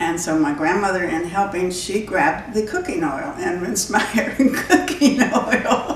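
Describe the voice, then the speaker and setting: Woman at medium pitch with an American accent, very wide pitch swings, hardly any pauses and a moderate pace, with audible room echo and noticeable background noise. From West Virginia, Bluefield; later Florida. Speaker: pastor's wife. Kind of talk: interview storytelling.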